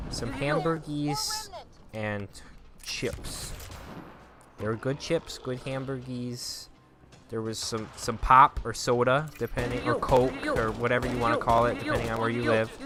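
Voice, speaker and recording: A man with a Minnesotan accent, medium pitch, fairly even intonation and a fairly slow pace, amid noticeable background noise. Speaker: gaming YouTuber. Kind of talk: casual storytelling over gameplay.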